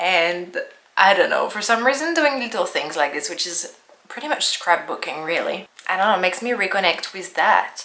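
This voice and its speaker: A woman with a French accent talks at a fairly quick pace with ordinary pitch variation. Noticeable background noise can be heard. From France. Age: 30s. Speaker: lifestyle vlogger. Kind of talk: casual vlog narration. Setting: at home.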